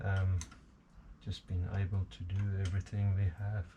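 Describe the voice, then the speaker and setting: A man speaks at a fairly slow pace in a very deep, low voice, his tone dark and mellow, somewhat breathy, with flat, monotone intonation. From South Africa. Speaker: hobbyist machinist. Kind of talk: workshop tutorial. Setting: home workshop. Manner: hesitant, many fillers.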